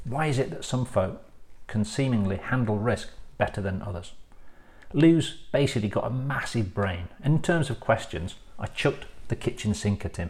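Somewhat breathy, a man speaks at a moderate pace with a medium pitch and lively intonation. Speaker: podcast host. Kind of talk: casual interview.

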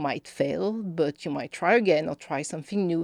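In a very clean recording with a silent background and a dry, close sound with no echo, a woman speaks at a moderate pace in a fairly low pitch with a strong French accent. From France (Paris). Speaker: policy campaign director. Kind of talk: interview.

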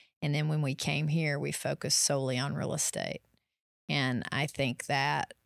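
A woman with a Tennessee accent in a very clean recording with a silent background. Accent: Southern US (Tennessee). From East Tennessee. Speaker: realtor. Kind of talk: podcast interview.

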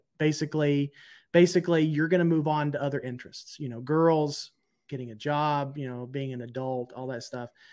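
A man with an American accent speaks in an ordinary speaking voice at a fairly quick pace, fairly high in pitch with fairly even intonation. His loudness swings widely on a very clean recording with a silent background. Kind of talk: casual chat.

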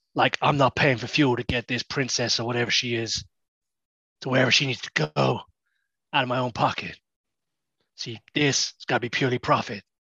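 Putting on a character voice, a man of medium pitch talks at a fairly quick pace broken by long, frequent pauses against a quiet background. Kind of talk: tough-guy mercenary talk. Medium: actual play. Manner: cocky, blunt, streetwise.

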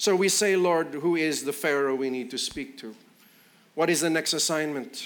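An unremarkable speaking voice at a moderate pace. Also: man. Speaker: preacher. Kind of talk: sermon. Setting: church.

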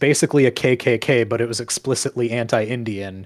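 In an American accent, a man speaks at a medium pitch with ordinary pitch variation and an unremarkable speaking voice. The sound is dry and close, with no echo. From rural central Minnesota. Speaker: video editor and podcast guest. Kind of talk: casual chat.

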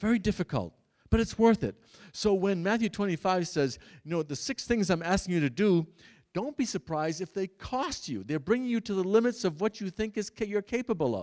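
Recorded very cleanly against a silent background, a man with a high pitch speaks at a fairly quick pace and with lively intonation, the sound dry and close with no echo. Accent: American. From Massachusetts, US. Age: 70s. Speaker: priest. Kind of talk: Bible teaching talk to a parish audience. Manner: halting, with frequent restarts.

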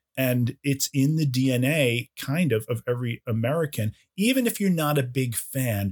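This man has an unremarkable speaking voice at a medium pitch, with ordinary pitch variation and very even loudness at a fairly slow pace. The sound is dry and close with no echo, on a very clean recording with a silent background. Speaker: podcast co-host. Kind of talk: casual chat.

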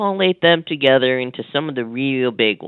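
This man has a plain, everyday voice at a medium pitch. He speaks at a moderate pace. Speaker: media watchdog analyst. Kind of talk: phone interview, news analysis.

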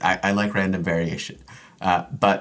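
A man with an American accent and a very deep, low pitch at a moderate pace, on a very clean recording with a silent background. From Jamaica-born, grew up in Central Florida (Orlando). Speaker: behavioral scientist, assistant professor. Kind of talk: interview conversation.

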